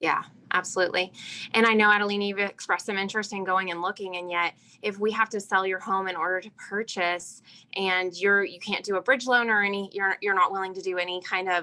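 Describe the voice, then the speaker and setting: Talking very fast, a woman keeps a monotone, flat intonation in a bright, sharp tone. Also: medium pitch for a woman. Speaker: real estate agent. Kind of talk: role-play training.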